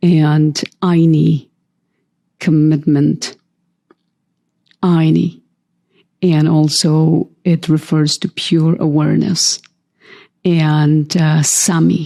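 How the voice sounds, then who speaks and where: A woman's very deep, low, dark and mellow voice, very slow with long, frequent pauses, monotone and flat in intonation, and very even in loudness. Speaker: spiritual coach. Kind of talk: interview conversation.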